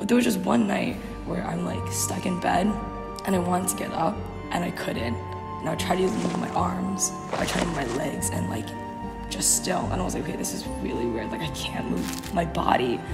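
A woman talks at moderate speed while clear music plays behind her. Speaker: co-host. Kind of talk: casual storytelling. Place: hall. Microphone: camera far.

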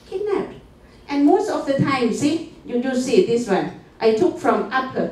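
In a Thai accent, a woman speaks at a fairly slow pace with a high pitch and very wide pitch swings, with audible room echo around her. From Thailand. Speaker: conference presenter. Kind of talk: conference presentation. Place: meeting room.

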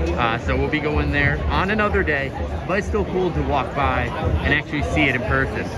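Clear music sounds in the background. A man speaks at a fairly quick pace. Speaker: vlogger. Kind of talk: casual vlog chat. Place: hall. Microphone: phone near.

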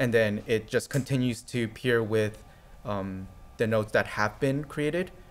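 Pitch varies in an ordinary way as a man speaks at a fairly slow pace. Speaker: network test engineer; conference presenter. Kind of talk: conference talk. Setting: stage with audience. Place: hall.

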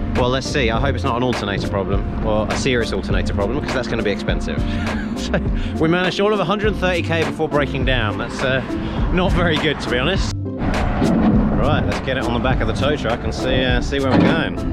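A man speaks at a very fast pace with a dry sound with no echo, while clear music plays in the background. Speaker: travel vlogger. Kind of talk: casual vlog chat. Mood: mildly frustrated, resigned. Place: street. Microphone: phone near.

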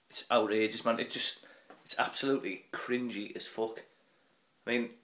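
A man's medium-pitched voice in a northern English accent, at a moderate pace with monotone, flat intonation, against a quiet background. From northern England. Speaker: vlogger. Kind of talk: angry profane rant. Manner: ranting, loud and sweary; mocking, sarcastic, putting on silly voices. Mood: irritated, mocking rant. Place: home room. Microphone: phone near.

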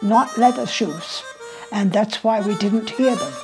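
Clear background music behind a woman speaking at a very slow pace. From Shanghai, China. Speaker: interviewee recalling history. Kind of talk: interview answer. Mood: earnest, warm reminiscing. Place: home room. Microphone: lapel.

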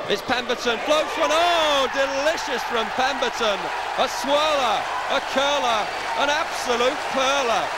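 The speech moves at a fairly slow pace over loud background noise. The sound is dry with no echo. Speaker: football commentator. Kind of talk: live football commentary.

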